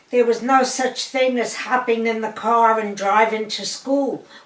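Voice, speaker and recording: With a New York accent, a woman talks at a fairly high pitch amid audible room echo and noticeable background noise. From Brooklyn, New York. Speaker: grandmother sharing family history. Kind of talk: oral history interview.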